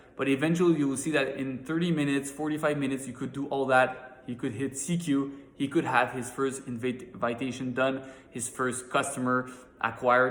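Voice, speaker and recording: This man talks at a fairly quick pace in a monotone, flat intonation, his pitch medium. Noticeable background noise runs underneath. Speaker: network marketing team leader. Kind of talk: motivational training talk. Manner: halting with repetitions.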